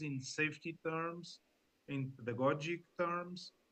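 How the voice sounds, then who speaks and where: The speaker has a Portuguese accent and talks at a very slow pace. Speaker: sea scout leader. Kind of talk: panel discussion. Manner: halting.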